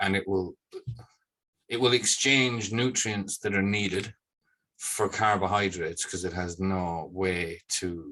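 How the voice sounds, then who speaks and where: A man speaks at a fairly slow pace with long, frequent pauses, using a very deep, low pitch with ordinary variation. His tone is bright and sharp against a quiet background. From England, then Ireland from teens. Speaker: farmer. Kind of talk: casual chat.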